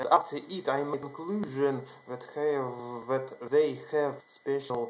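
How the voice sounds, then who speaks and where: Here is a man with a non-native accent. His pitch is fairly high and his intonation fairly even. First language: not English. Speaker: video channel creator. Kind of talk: monologue telling a personal story to camera. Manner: halting. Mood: earnest, excited. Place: home room. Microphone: webcam.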